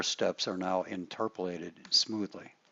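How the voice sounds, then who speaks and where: Speaking fairly slowly, a man uses a plain, everyday voice whose pitch varies in an ordinary way. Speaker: software instructor. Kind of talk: tutorial. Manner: casual, with filler words.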